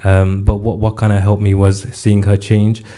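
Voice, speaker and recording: A man speaks at a fairly quick pace in a fairly low pitch, his dark, mellow tone somewhat breathy and his intonation flat and monotone. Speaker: rap artist and mental health helpline advisor. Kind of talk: interview.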